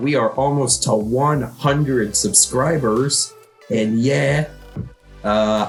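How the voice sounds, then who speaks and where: Speaking at a very slow pace, a man uses ordinary pitch variation while music plays in the background. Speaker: gaming YouTuber.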